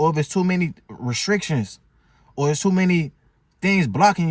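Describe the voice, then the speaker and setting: Here a man speaks at a fairly quick pace. His high-pitched voice has an animated tone. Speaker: motivational vlogger. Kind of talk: casual motivational talk. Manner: fast.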